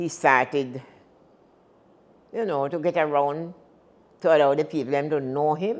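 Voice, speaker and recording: A woman's very deep, low voice in a Jamaican accent, with long, frequent pauses. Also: ordinary pitch variation, moderate pace. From Jamaica, Saint Thomas parish. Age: 80s+. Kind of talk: interview answer.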